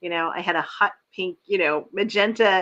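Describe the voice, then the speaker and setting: Speaking at a moderate pace, a woman with a medium-pitched voice has a plain, everyday voice. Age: 50s. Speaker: livestream host. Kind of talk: casual chat. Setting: live video stream.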